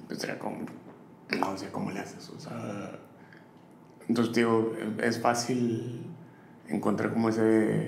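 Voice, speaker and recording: In a room with audible echo and noticeable background noise, a man speaks at a fairly slow pace in a monotone, flat intonation, with long, frequent pauses. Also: medium pitch for a man. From northern Mexico, Matamoros. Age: 30s. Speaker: chef. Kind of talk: interview.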